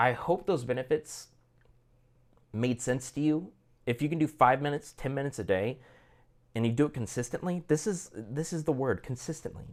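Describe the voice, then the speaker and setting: In an American accent, the speaker sounds animated, moving at a fairly quick pace with long, frequent pauses and ordinary pitch variation on a very clean recording with a silent background. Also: man. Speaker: language learning vlogger. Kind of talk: casual monologue. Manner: halting, many repetitions.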